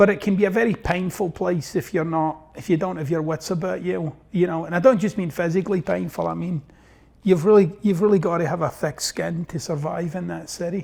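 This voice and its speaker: A man with a Glaswegian accent, high-pitched, fairly quick, with fairly even intonation. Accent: Glaswegian Scottish. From Scotland, East End of Glasgow. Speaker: self-help author. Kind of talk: interview.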